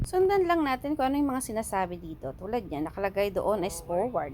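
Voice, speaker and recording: An animated woman's fairly high voice at a fairly quick pace, with very wide pitch swings and music in the background. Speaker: vlogger. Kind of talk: casual vlog narration. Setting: in a car at a car wash.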